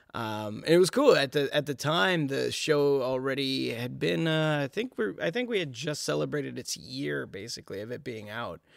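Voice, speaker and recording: With an American accent, a man speaks at a moderate pace with hardly any pauses. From New York City. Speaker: voice actor. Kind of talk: casual chat.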